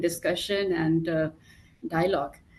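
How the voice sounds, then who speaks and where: At a moderate pace, the speaker talks with an Indian accent. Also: woman. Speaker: pharmaceutical clinical development head. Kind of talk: panel discussion.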